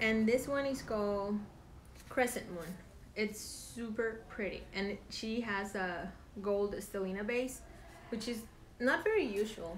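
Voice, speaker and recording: With a Spanish accent, a woman at a fairly high pitch talks at a fairly slow pace with ordinary pitch variation amid audible room echo. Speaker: knitting podcast co-host, yarn dyer. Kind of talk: casual chat.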